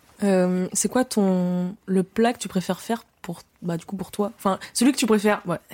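In a dark, mellow tone, a woman speaks with fairly even intonation. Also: medium pitch for a woman, moderate pace, dry, close sound with no echo. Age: 20s. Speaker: podcast host. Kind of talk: casual chat; scripted intro.

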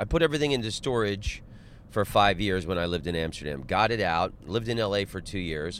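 With an American accent, a man talks at a fairly quick pace in a normal speaking voice full of lively intonation. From Florida, Orlando. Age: 40s. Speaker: comedian. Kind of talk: casual chat. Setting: in a car.

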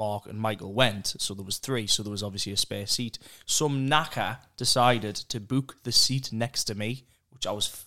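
A man with a northeast England accent speaks at a moderate pace and medium pitch, his bright, sharp tone carrying fairly even intonation. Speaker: podcast host. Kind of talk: casual chat.

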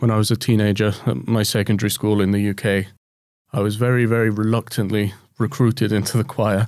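A man with a British accent, very even in loudness and fairly even in intonation. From UK. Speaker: composer. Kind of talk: interview conversation.

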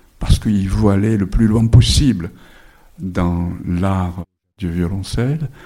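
Speech comes at a very slow pace with long, frequent pauses and ordinary pitch variation. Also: man, fairly low pitch for a man. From Japan. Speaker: novelist. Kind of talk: bookshop author talk. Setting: bookshop event with audience.

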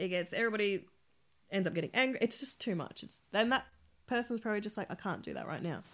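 Talking at a very fast clip with an Australian accent, a woman uses a medium pitch and ordinary pitch variation on a very clean recording with a silent background. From Australia, born in El Salvador. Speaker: podcast guest, mother. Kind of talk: casual chat.

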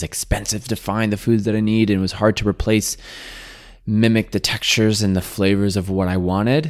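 The recording is very clean with a silent background. A man with an unremarkable speaking voice talks at a moderate pace and fairly low pitch. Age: 30s. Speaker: plant-based chef and content creator. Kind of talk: casual interview chat. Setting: home kitchen.

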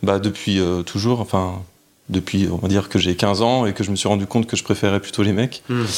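A man with a fairly low pitch talks at a fairly quick pace in a monotone, flat intonation. The recording is very clean, with a silent background. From France, Lyon. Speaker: interview guest sharing personal story. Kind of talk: personal testimony. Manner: hesitant, many fillers.

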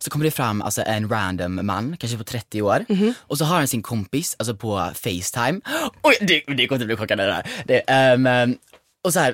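In an ordinary speaking voice, a man speaks fairly quickly at medium pitch with lively intonation, the sound dry and close with no echo. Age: 20s. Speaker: podcast co-host. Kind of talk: casual chat.

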